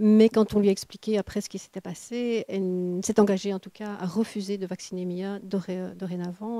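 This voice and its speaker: Her dark, mellow voice sits at a medium pitch, flat and monotone, in a dry, close recording with no echo. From Belgium. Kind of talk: interview answer.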